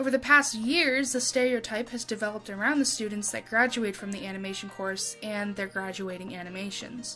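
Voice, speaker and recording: With music in the background, a woman talks at a moderate pace and a fairly high pitch, using ordinary pitch variation. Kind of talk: casual commentary to camera. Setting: home recording, uneven stereo. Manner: occasional stuttering.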